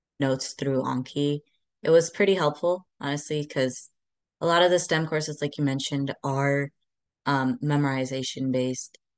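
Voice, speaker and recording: Her voice is very deep and low for a woman, at a moderate pace, with an American accent. The sound is dry and close with no echo, over a quiet background. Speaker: pre-med student, podcast co-host. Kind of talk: casual chat.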